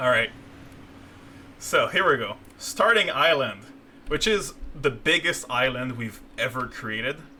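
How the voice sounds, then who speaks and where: A man with lively intonation and long, frequent pauses, over noticeable background noise. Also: medium pitch for a man, fairly slow pace. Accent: French Canadian. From Quebec, Canada. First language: French. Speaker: game designer. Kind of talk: live stream gameplay commentary. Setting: live stream. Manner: halting, many fillers.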